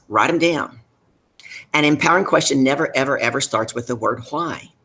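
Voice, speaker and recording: A man with a Deep South accent speaks at a moderate pace. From US South. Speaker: business leadership coach. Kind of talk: live show interview. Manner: animated.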